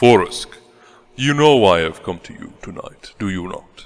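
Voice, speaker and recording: A man performs a put-on character voice at medium pitch and a moderate pace. His loudness swings widely. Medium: audio drama. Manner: formal, earnest.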